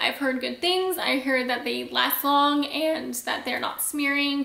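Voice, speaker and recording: A woman's raised, projected voice comes through audible room echo, high in pitch, at a moderate pace and with fairly even intonation. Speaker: beauty youtuber; beauty vlogger. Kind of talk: product review vlog. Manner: casual, chatty. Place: home room.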